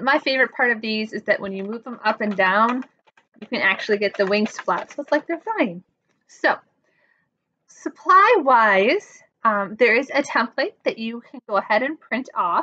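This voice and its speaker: A woman speaks at a fairly slow pace in a bright, sharp tone, with lively intonation and big swings in loudness. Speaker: presenter. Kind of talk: tutorial. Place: home room. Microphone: webcam.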